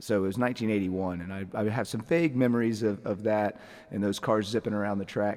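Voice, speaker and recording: A man with an American accent has an ordinary speaking voice with fairly low pitch and fairly even intonation. He talks at a fairly quick pace. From US South, Atlanta area, Georgia. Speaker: race car driver. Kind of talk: interview, casual chat.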